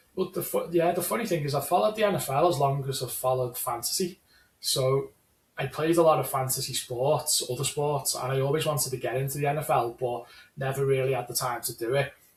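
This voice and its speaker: A very fast delivery in a Scouse accent, with ordinary pitch variation. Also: man, fairly high pitch for a man. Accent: Scouse, unchanged by Ireland. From Liverpool, England. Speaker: fantasy football league player. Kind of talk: casual chat. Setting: call.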